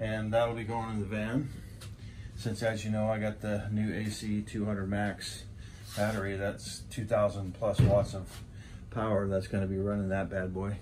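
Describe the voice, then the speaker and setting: This man's fairly low voice stays monotone and flat, over noticeable background noise. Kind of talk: casual vlog chat. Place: shop. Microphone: phone near.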